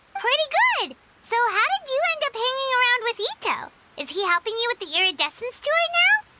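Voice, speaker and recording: Squeaky and extremely high, a put-on character voice rattles along at a fairly quick pace. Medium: video game. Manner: sassy, teasing.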